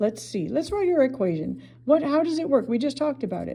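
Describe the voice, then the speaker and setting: Noticeable background noise sits behind speech that leaps through very wide pitch swings. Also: woman. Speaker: math teacher. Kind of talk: tutorial. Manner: casual.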